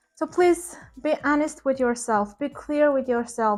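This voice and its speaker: A woman's high-pitched voice with a non-native accent and fairly even intonation, with music in the background. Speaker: ESL teacher and vlogger. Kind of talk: advice vlog.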